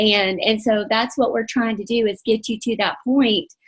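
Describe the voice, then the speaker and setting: Speaking fairly slowly, a woman uses a fairly high pitch. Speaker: faith-based coaching leader. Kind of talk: online coaching training session. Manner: partly reading aloud.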